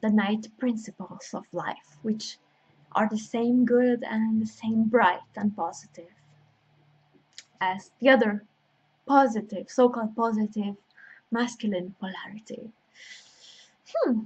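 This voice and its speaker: A woman with a non-native accent speaks in a fairly high, somewhat breathy voice, her intonation fairly even and her speech marked by long, frequent pauses. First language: not English. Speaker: intuitive healer and astrologer. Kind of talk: spiritual workshop talk with guided invocation. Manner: halting, with many fillers.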